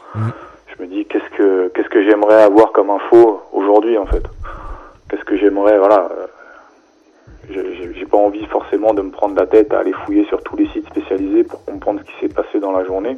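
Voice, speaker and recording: Talking at a fairly quick pace, a man leaves long, frequent pauses, his loudness swinging widely over noticeable background noise. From Paris suburbs, France. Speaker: website founder. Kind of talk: radio interview. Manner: hesitant, conversational.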